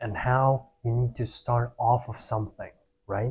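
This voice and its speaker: On a very clean recording with a silent background, a man speaks at a fairly slow pace in a somewhat breathy, medium-pitched voice with a dark, mellow tone and fairly even intonation. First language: Russian and Kyrgyz. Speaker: vlogger, salesperson. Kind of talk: casual personal vlog.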